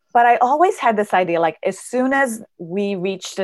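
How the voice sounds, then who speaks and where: Woman at a moderate pace, on a very clean recording with a silent background. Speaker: high performance coach and speaker. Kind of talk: interview.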